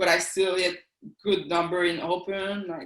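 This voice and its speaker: A speaker with a French Canadian accent talks at a fairly slow pace. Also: woman. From eastern Quebec, Canada. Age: 40s. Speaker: athlete and police officer. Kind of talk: interview. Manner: halting.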